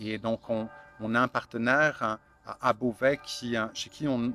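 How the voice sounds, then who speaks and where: A man talks at a very slow pace in a medium pitch with fairly even intonation. The sound is dry and close with no echo, and music plays in the background. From France, Burgundy. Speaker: founder of online fermentation supply shop. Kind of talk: interview. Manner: halting, many fillers.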